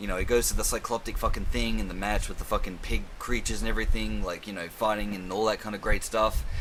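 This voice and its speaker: Here a man talks at a very fast pace. He leaves hardly any pauses. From Australia. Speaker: film and TV reviewer. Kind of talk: casual monologue review. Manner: casual, rambling, swears a lot.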